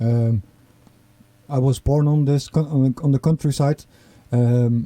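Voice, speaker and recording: A man's dark, mellow tone carries fairly even intonation in a dry, close sound with no echo. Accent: eastern Netherlands. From eastern Netherlands, near German border. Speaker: record label owner and musician. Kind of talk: interview. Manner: halting.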